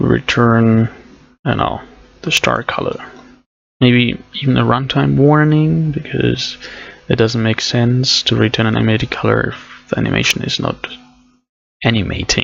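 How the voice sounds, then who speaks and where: A man with a non-native accent at a moderate pace, with long, frequent pauses. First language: not English. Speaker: programming streamer. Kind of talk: live coding tutorial. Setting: live stream. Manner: casual, thinking aloud with fillers.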